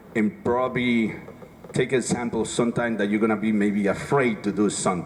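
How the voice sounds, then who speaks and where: Over noticeable background noise, the voice moves at a fairly quick pace with fairly even intonation and very even loudness. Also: man, medium pitch for a man. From Dominican Republic. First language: Spanish. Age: 40s. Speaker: city councilman. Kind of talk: rally speech.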